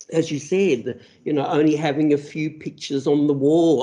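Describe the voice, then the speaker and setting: With an Australian accent, a man talks at a moderate pace in a dark, mellow tone, his fairly high pitch carried by fairly even intonation. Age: 60s. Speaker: interviewer. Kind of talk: interview. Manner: halting.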